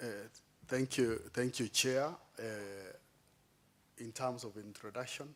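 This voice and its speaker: Speaking at a moderate pace, a man uses a medium pitch and fairly even intonation. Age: 60s. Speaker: county finance executive. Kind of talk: committee testimony. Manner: halting.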